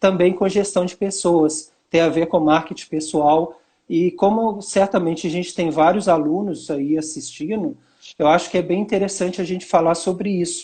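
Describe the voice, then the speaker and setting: A man's high, dark, mellow voice at a moderate pace, fairly even in intonation, over a quiet background. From Minas Gerais, Brazil. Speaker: university professor. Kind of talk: live webinar talk. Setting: live video stream.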